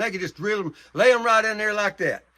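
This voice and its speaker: Someone with an American accent talks at a very fast pace in a raised, projected voice with a bright, sharp tone. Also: man. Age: 70s. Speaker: hunter. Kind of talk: casual talk to camera about bowhunting. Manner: repetitive, with hesitations.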